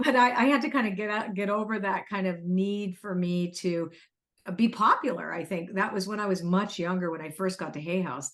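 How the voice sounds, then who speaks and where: A woman at a medium pitch, with ordinary pitch variation and a fairly quick pace. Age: 60s. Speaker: spiritual author and oracle card deck creator. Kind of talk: casual interview conversation. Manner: animated.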